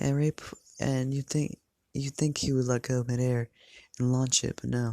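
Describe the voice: The recording has a quiet background behind plain reading aloud.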